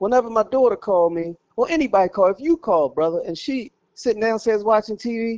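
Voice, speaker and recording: A loud, animated man with a high pitch, lively intonation and a very fast pace. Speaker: storyteller. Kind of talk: casual chat.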